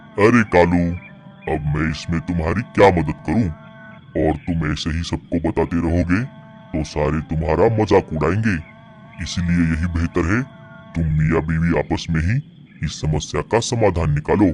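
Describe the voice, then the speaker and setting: A man's cartoonish character voice, very deep and low, with long, frequent pauses over clear background music. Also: moderate pace. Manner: calm, generous, advising.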